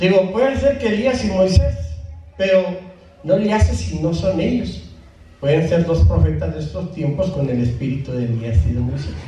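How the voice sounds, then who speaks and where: With an animated tone, a man speaks amid light background noise and audible room echo. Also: moderate pace. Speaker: preacher. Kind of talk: sermon. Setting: church. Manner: informal and direct, addressing congregation. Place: church.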